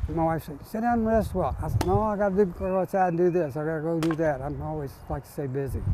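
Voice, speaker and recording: Over noticeable background noise, a man talks very fast with hardly any pauses, lively intonation and big swings in loudness. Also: fairly high pitch for a man. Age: 80s+. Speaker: tree trimmer. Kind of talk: casual talk while working.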